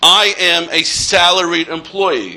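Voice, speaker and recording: A man speaks loudly at a high pitch over noticeable background noise. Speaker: accountant and college lecturer. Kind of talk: workshop lecture.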